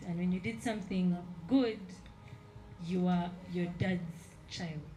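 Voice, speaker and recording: Over music in the background, a woman speaks at a medium pitch with ordinary pitch variation and audible room echo. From central Uganda. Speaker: artist. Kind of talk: exhibition panel talk.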